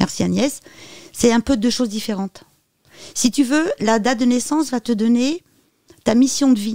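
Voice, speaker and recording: A woman with a high pitch and a dark, mellow tone speaks at a moderate pace with ordinary pitch variation and long, frequent pauses, the sound dry and close with no echo. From France. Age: 50s. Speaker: medium and psychic. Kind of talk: interview.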